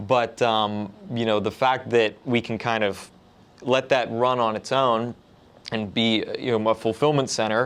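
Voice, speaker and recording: A man speaks at a fairly slow pace in a medium-pitched, monotone voice with flat intonation over a quiet background. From Pittsburgh. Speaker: business development analyst. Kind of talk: podcast interview.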